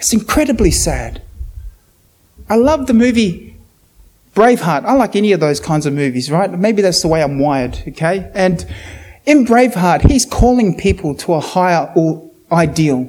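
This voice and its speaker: A man with a New Zealand accent speaks at a moderate pace in a high pitch, with very wide pitch swings and long, frequent pauses. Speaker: preacher. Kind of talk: sermon. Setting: church. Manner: animated.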